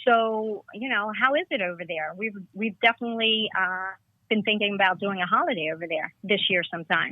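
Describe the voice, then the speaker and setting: With an American accent, a woman talks at a fairly quick pace in an ordinary speaking voice, medium in pitch and with ordinary pitch variation. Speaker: caller. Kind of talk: casual chat. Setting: phone call.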